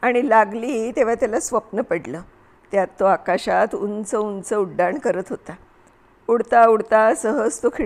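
Natural-voiced reading aloud

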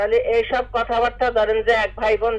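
A woman's voice over noticeable background noise. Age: 60s. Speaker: caller. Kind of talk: phone-in question. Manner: halting.

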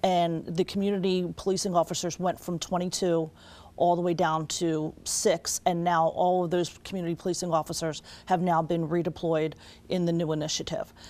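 A woman talks in a fairly low voice with a dark, mellow tone and monotone, flat intonation. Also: moderate pace. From Wilmington, Delaware; Delaware. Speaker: state legislator; guest. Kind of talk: TV interview. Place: studio.

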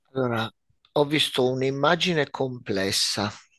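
Dry sound with no echo, a quiet background, and a man talking. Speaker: nurse, medium. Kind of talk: channeling session. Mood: calm, measured, hesitant. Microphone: headset.

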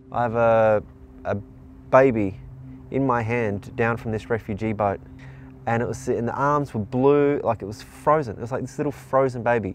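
At a moderate pace with long, frequent pauses, a man speaks with fairly even intonation, the sound dry with no echo over light background noise. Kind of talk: interview answer. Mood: earnest, moved. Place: waterside. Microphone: lapel.

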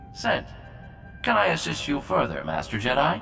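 Using a raspy, put-on character voice, a man speaks at a moderate pace with a medium pitch over clear background noise.

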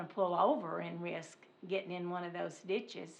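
A woman in an Arkansas accent, bright and sharp in tone, at a fairly slow pace, with audible room echo. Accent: Southern US (Arkansas). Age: 70s. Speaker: resident speaking at public comment. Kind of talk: public comment at council meeting. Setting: city council meeting.

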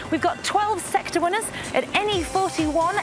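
Clear music in the background behind a woman talking at a moderate pace. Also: dry sound with no echo. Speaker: lottery presenter. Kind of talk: presenter piece to camera. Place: waterside.

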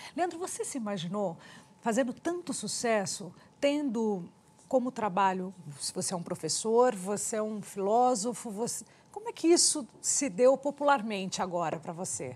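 A woman keeps a moderate pace as her pitch swings very widely. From Brazil. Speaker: TV interviewer. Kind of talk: interview. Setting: studio. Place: studio. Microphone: lapel.

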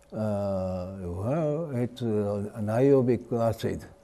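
A dark, mellow tone with lively intonation and a Japanese accent. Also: man. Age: 80s+. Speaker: retired chemistry professor. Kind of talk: interview. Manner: halting, many fillers. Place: hall. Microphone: lapel.

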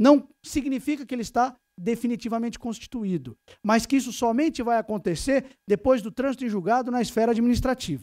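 Over a quiet background, a man talks at a fairly quick pace in a São Paulo accent. His pitch is extremely high, with ordinary pitch variation. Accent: São Paulo Brazilian Portuguese. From Brazil, São Paulo. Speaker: tax lawyer, lecturer. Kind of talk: conference lecture. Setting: stage with audience. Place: meeting room.

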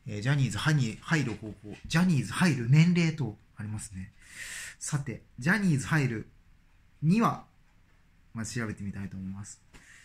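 A somewhat breathy male voice at a moderate pace, with lively intonation and big swings in loudness. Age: 40s. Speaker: dentist and YouTuber; YouTuber. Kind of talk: casual vlog monologue. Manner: hesitant, many fillers. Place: home room. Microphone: phone near.

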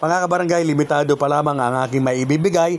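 Here a man with an unremarkable speaking voice talks at a fairly quick pace with ordinary pitch variation. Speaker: YouTube vlogger giving barangay election tips. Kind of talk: vlog monologue. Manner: frequent filler pauses (uh); polite, formal.

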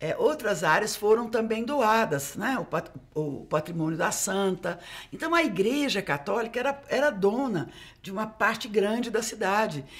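A woman's fairly high voice, pitch swinging very widely, at a fairly slow pace. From Uberlândia, Minas Gerais, Brazil; Minas Gerais, Brazil. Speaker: geography professor. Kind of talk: casual chat. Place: studio. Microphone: studio mic.

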